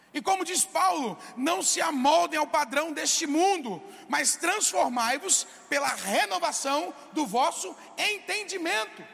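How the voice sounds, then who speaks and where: Amid noticeable background noise, a man with an extremely high pitch speaks at a very slow pace with lively intonation. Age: 20s. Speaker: pastor. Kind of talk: sermon.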